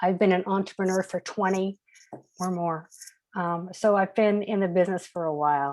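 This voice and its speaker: A woman speaks at a moderate pace in a normal speaking voice. Her pitch is medium and her intonation fairly even. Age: 60s. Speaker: business coach and motivational speaker. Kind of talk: webinar talk.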